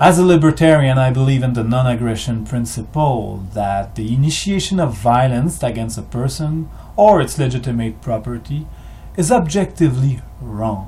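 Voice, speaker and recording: A man with a French-Canadian accent, medium in pitch and lively in intonation, at a moderate pace, with audible room echo. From Quebec, Canada. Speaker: history video maker. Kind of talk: monologue. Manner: halting.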